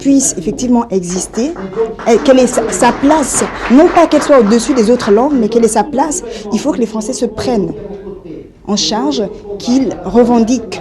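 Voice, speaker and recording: A woman's fairly high voice with lively intonation at a moderate pace, over noticeable background noise. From Africa. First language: an African language (speaking French). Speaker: activist. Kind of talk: press conference statement.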